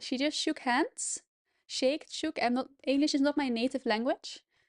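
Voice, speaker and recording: A woman with a Dutch accent and a high voice speaks with ordinary pitch variation against a quiet background. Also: dry, close sound with no echo. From Netherlands. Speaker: chess streamer. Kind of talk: live commentary.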